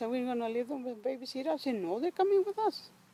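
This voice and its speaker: With a Mexican accent, the speaker's pitch rises and falls in very wide swings, captured with a dry, close sound and no echo. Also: woman. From Mexico. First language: Spanish. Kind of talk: oral history interview answer.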